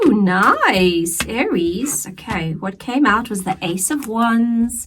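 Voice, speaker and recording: Speaking at a very slow pace, a woman uses lively intonation at a fairly high pitch, with noticeable background noise behind her. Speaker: tarot reader. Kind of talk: tarot reading. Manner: casual, conversational.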